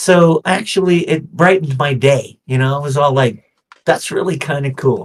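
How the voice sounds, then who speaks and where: A somewhat breathy man with an American accent speaks at a moderate pace in a fairly high pitch with ordinary pitch variation. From East Texas. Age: 50s. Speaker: voice actor. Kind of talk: podcast interview. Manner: animated.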